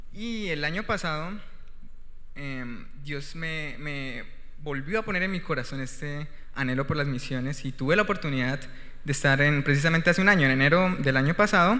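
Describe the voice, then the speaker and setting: Audible room echo surrounds a man who speaks at a moderate pace and a fairly high pitch, with ordinary pitch variation. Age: 20s. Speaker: missionary and guest preacher. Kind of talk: sermon; testimony. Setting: church.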